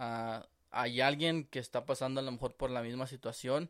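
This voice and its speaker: The recording is very clean, its background silent. In it, a man talks at a moderate pace. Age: 20s. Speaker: podcast co-host. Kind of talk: casual chat.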